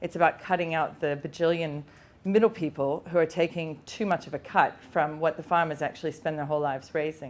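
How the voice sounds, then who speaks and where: A fairly quick-paced woman with an Australian accent, a very deep, low pitch and fairly even intonation. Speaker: pig farmer and butcher, former academic. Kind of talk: conference talk. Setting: stage with audience. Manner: loud.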